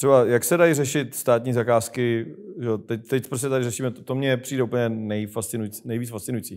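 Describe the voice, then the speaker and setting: Against a quiet background, a man talks at a fairly quick pace with hardly any pauses. His intonation stays fairly even. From Czech Republic. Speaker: show host asking questions. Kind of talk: casual political interview. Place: studio.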